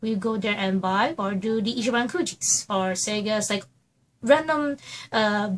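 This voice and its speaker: Somewhat breathy and fairly high, a woman's voice moves at a fairly slow pace with ordinary pitch variation. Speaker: YouTuber. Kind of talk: vlog monologue. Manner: animated.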